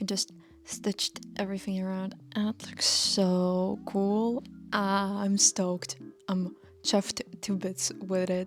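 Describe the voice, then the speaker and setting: A woman with a non-native accent talks at a very slow pace while music plays in the background. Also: medium pitch for a woman, ordinary pitch variation. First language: not English. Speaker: fashion student vlogger. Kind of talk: casual vlog talk. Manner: halting, many fillers and restarts.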